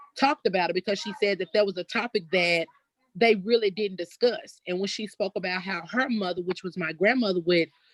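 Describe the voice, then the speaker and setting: Recorded with a dry, close sound and no echo, a woman with an Arkansas accent talks at a fairly quick pace, medium in pitch with ordinary variation. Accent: Southern US (Arkansas). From US South, Elaine, Arkansas. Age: 30s. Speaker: descendant of massacre survivors, community member. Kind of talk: testimony. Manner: halting, with many fillers.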